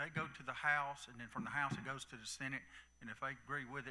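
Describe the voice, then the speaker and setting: With a Southern US accent, a man speaks at a moderate pace. His tone is bright and sharp, his pitch fairly high for a man. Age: 60s. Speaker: county commissioner. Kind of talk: town hall talk. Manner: halting.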